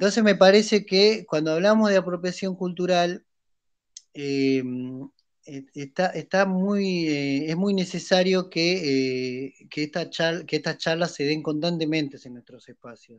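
With an ordinary speaking voice, a man talks at a fairly slow pace and a fairly high pitch, using ordinary pitch variation and big swings in loudness. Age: 30s. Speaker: podcast co-host. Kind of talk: casual discussion.

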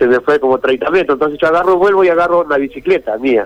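Noticeable background noise is heard behind a man speaking. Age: old. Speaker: fisherman involved in a viral incident. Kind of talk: phone interview on radio.

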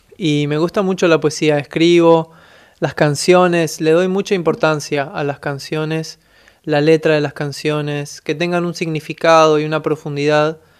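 A fairly high-pitched man speaks in a monotone, flat intonation on a very clean recording with a silent background. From Buenos Aires, Argentina. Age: 20s. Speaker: musician. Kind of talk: interview.

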